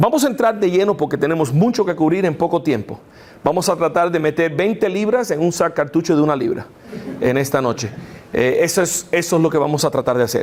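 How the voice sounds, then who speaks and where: Against noticeable background noise, a man with a non-native accent talks fairly quickly at a high pitch, his loudness very even and his intonation lively. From United States. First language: English (speaking Spanish). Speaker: apologetics lecturer. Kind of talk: lecture. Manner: halting, many fillers.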